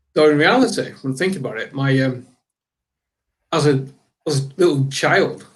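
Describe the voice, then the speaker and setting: At a moderate pace, a man with a fairly high pitch and ordinary pitch variation sounds somewhat breathy, leaving long, frequent pauses. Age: 60s. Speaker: panelist. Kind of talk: convention panel discussion.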